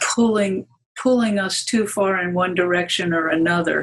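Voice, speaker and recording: The pitch sits at a medium level for a woman. Her voice comes out somewhat breathy. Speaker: Gestalt therapist and psychoanalyst. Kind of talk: interview. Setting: conference.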